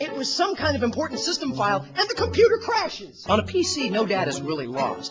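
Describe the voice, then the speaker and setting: A man speaks with music playing in the background. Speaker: video editor. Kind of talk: comedic rant to camera. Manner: exasperated, emphatic.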